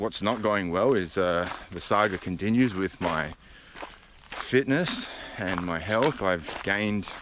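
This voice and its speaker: A man with an Australian accent and a very deep, low pitch amid noticeable background noise. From Australia, Adelaide. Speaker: vlogger. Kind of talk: casual vlog monologue. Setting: outdoors on a hiking trail.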